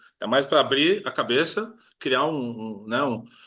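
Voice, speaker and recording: Over a quiet background, a man speaks with lively intonation. His pitch is fairly high. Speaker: project management trainer. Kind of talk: webinar lecture wrap-up. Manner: fast.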